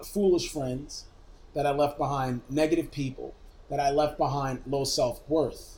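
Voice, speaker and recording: A man with an American accent speaks in a somewhat breathy, fairly high voice. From Brooklyn, New York. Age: 40s. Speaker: media technology executive. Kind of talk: casual interview chat. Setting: drinking whiskey during recorded interview.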